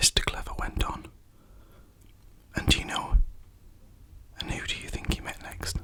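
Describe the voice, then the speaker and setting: Someone is whispering. Background noise is noticeable. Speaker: ASMR storyteller. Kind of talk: bedtime story reading. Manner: soft-spoken.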